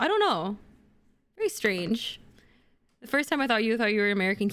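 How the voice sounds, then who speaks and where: A woman speaks with an Indonesian accent. Her tone is animated. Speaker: streamer. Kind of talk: casual chat. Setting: livestream.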